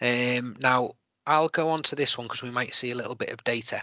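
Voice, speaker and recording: A man with a slight Liverpool accent speaks at a medium pitch with ordinary pitch variation. His tone is bright and sharp, recorded dry with no echo against a quiet background. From Liverpool, England. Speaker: teacher presenting an edtech webinar. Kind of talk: tutorial. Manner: hesitant, many fillers. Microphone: video call.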